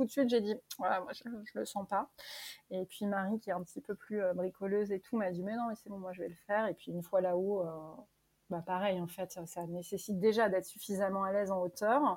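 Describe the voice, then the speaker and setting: A woman speaks at a fairly quick pace with medium pitch and fairly even intonation. Her loudness swings widely. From Normandy, France. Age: 30s. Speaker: guesthouse owner. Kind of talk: interview. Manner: hesitant.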